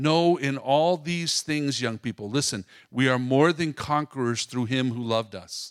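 Heard in a very clean recording with a silent background, a man with a plain, everyday voice speaks at a fairly slow pace and medium pitch with ordinary variation, in a dry, close sound with no echo. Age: 50s. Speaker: pastor's son sharing testimony with his wife. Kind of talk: testimony.

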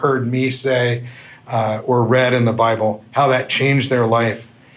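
A man speaks fairly slowly at medium pitch with fairly even intonation. Room echo is audible. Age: 50s. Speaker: youth minister. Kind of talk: testimony. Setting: men's breakfast event with audience.

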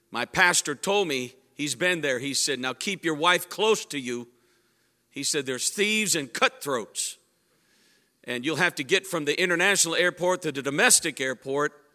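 An animated voice with a bright, sharp tone and lively intonation moves at a moderate pace in a very clean recording with a silent background and a dry, close sound with no echo. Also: man, fairly high pitch for a man. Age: 60s. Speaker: pastor. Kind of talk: sermon. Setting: church.

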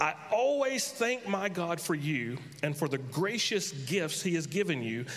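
Over noticeable background noise, a man with an American accent speaks at a fairly high pitch and makes very wide pitch swings. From North Carolina. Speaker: pastor. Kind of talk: sermon. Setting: church. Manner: humorous, joking.

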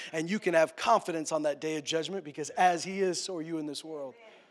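Fairly quick and fairly high in pitch, a man speaks in a normal speaking voice with fairly even intonation. The recording is very clean, with a silent background. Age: 30s. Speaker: pastor. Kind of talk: sermon.

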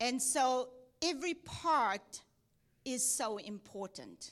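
A woman's high pitch with very wide swings. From South Africa, Cape Town. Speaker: missionary. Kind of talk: sermon. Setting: church.

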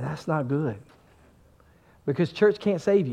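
Over a quiet background, a man talks in an animated tone with lively intonation. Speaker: pastor. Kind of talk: sermon. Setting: church. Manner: animated, preaching.

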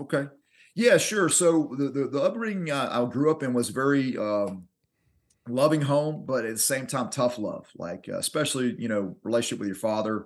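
A man's medium-pitched voice in a Southern US accent, with lively intonation. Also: moderate pace. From Alabama. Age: 40s. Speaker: martial arts instructor. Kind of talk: interview.

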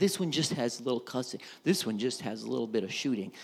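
Animated in tone, a man talks at a fairly quick pace with a Southern US accent. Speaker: pastor. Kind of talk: sermon. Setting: church.

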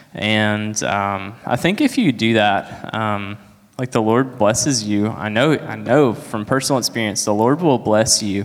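A man with a plain, everyday voice speaks in a fairly low pitch with ordinary pitch variation. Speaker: church member giving testimony. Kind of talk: testimony.

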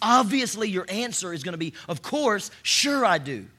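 A man speaks at a moderate pace in an animated, raised and projected voice, bright and sharp in tone, with very wide pitch swings. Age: 40s. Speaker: pastor. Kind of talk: sermon. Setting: church stage with audience.

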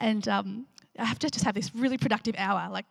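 Vocal fry runs through this woman's medium-pitched voice as she talks at a fairly quick pace. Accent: Australian. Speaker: pastor leading a church discussion. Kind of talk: sermon with group discussion. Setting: church gathering. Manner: animated, frequent laughter.

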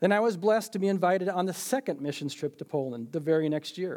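In an Upper Midwest accent, a man talks very fast with a dark, mellow tone. His pitch varies in an ordinary way. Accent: Upper Midwest American. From Minnesota, US. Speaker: church member giving testimony. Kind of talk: testimony.

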